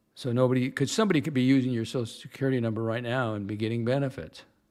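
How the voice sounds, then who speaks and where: At a very fast pace, a man talks with medium pitch. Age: 70s. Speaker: livestream host. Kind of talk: casual livestream chat answering viewers. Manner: halting, many false starts and self-corrections.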